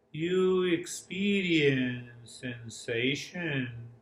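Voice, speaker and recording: A man talks at a very slow pace with ordinary pitch variation. The room echo is audible. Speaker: yoga and mindfulness teacher. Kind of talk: guided meditation; workshop lecture. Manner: modulated, calming.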